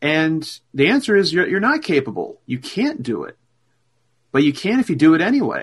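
A man talks at a moderate pace with a fairly high pitch. His voice has big pitch swings and a slightly husky edge.

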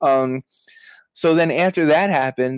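A man at a medium pitch with a New York accent, fairly even intonation, a moderate pace, and a dry, close sound with no echo. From Brooklyn, New York. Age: 30s. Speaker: author and journalism educator. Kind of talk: casual interview.

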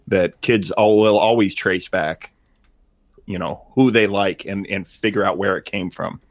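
A plain, everyday voice moves at a fairly slow pace with fairly even intonation, captured in a very clean recording with a silent background and dry, close sound with no echo. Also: man, fairly low pitch for a man. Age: 40s. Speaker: artist and podcaster. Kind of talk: casual chat.

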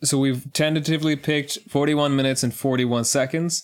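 An unremarkable speaking voice at a moderate pace. The intonation stays fairly even. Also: man. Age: 20s. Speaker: podcast co-host. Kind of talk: casual chat.

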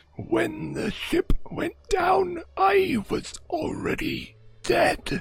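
Speaking very slowly in a put-on character voice, a man growls in an extremely high, raspy pitch. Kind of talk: spooky ghost voice. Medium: actual play. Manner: terse, slow, solemn.

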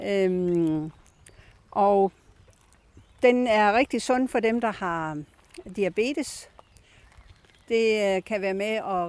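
A very slow delivery broken by long, frequent pauses. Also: woman. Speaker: garden guide. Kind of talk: guided tour. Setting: outdoors.

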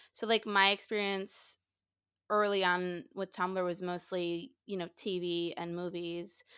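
Speaking at a fairly slow pace, a woman with a medium-pitched, bright, sharp voice keeps a flat monotone in a very clean recording with a silent background. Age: 20s. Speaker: podcast host. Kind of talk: casual interview.

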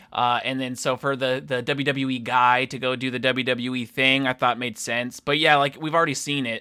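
Very clean recording, silent background: a man talks at medium pitch and a moderate pace. His tone is bright and sharp, with hardly any pauses. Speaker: podcast co-host. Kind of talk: casual banter about wrestling. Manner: animated, profane.

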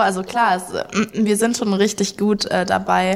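Noticeable background noise sits behind a woman who speaks at a moderate pace with fairly even intonation. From Saxony, Germany (Leipzig). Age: 20s. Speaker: backpacker. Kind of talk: casual chat.

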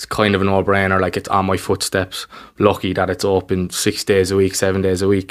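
A man speaks with a Cork accent at a very deep, low pitch and a fairly quick pace, in a monotone, flat intonation. The recording is very clean, with a silent background. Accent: Cork Irish. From Ireland, Cork north side. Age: 20s. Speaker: basketball coach. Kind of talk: casual interview. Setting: recorded in person.

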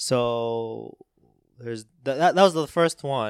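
The pitch moves up and down in an ordinary way. The speaker is a man. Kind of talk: casual chat. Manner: halting, many fillers and repeats.

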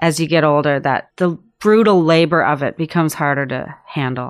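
Recorded very cleanly against a silent background, a woman with a fairly low voice speaks at a moderate pace with fairly even intonation. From Canada, Prince Edward Island. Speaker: food writer and journalist. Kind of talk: interview. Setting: studio. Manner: relaxed.

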